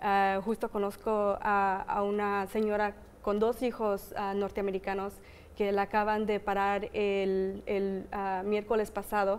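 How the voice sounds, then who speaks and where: A woman at medium pitch, fairly slow, with monotone, flat intonation and very even loudness. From United States (born there). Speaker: community activist; guest. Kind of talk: interview. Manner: hesitant with fillers. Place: studio. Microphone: lapel.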